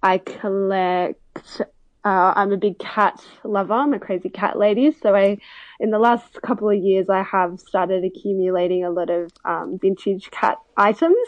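Using an Australian accent, a woman speaks at a medium pitch and a moderate pace with ordinary pitch variation. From Melbourne, Australia. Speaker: vintage seller. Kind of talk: interview. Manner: hesitant, many fillers.

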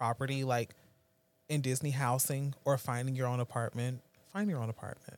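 An animated tone at a fairly quick pace comes through in a very clean recording with a silent background. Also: man. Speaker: friend. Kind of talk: casual chat.

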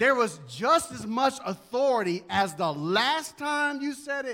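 A man's raised, projected voice, warm in tone yet also bright and sharp. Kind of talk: sermon. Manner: emphatic, repeating key phrases for memory; fervent, pastoral, warm.

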